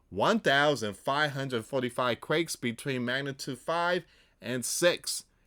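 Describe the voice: A man talks in a bright, sharp tone with lively intonation, on a very clean recording with a silent background.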